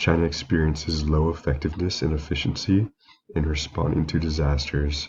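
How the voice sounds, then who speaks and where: A man speaks in a very deep, low voice at a fairly quick pace. His intonation is flat and monotone, and he sounds somewhat breathy. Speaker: student giving a class presentation. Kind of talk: recorded class presentation. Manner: reading from prepared slides.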